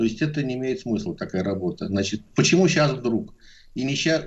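A man speaks in an unremarkable speaking voice. His intonation is lively. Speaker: epidemiologist. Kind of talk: radio interview.

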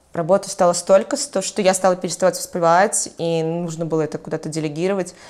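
A woman's fairly low voice at a very fast pace, with ordinary pitch variation and hardly any pauses. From Belarus, Mogilev. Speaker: entrepreneur and blogger. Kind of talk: casual interview.

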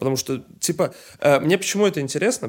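At a very fast pace, a man speaks with fairly high pitch and ordinary pitch variation. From Saint Petersburg, Russia. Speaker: podcast host. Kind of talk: casual chat.

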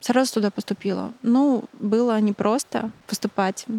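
The recording is very clean, with a silent background. A woman with a dark, mellow tone speaks at a fairly slow pace with fairly even intonation. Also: dry, close sound with no echo. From Belarus. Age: 20s. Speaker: photographer. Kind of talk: casual interview.

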